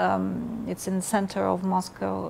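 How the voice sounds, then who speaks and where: Over noticeable background noise, a woman with a Russian accent speaks at a moderate pace. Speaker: ambassador. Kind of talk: interview. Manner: halting.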